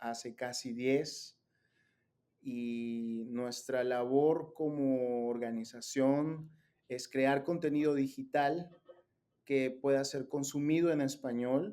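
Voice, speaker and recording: With a Peruvian accent, the speaker talks at a very slow pace in a dark, mellow tone with fairly even intonation. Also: man. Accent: Peruvian Spanish (Lima). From Peru, Lima. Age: 30s. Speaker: digital content creator, faith organization director. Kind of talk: interview conversation. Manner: hesitant, many fillers.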